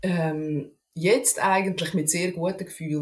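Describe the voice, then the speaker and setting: Her voice comes across as somewhat breathy. The woman speaks at a fairly slow pace. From Switzerland, canton Aargau. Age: 30s. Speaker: podcast guest. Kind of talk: casual interview conversation.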